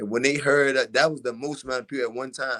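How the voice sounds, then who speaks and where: A man with a Baltimore accent, in a very clean recording with a silent background. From West Baltimore, Maryland, US. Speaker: boxer. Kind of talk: casual interview.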